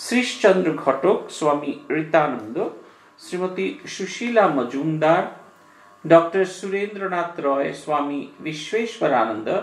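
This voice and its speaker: With audible room echo, a man in a Bengali accent speaks at a fairly slow pace in a high pitch, using lively intonation. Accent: Indian English, Bengali. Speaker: monk giving religious discourse. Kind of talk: lecture. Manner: halting.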